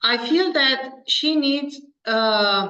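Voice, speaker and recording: A woman speaks at a high pitch with a Romanian accent, lively intonation and a bright, sharp tone, and audible room echo surrounds her. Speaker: pediatrician. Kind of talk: interview. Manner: halting.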